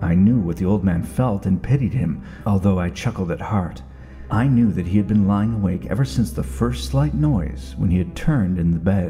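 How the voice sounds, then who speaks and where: A man with a very deep, low pitch uses lively intonation at a moderate pace, music playing in the background. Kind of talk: old time radio dramatic reading of a horror story.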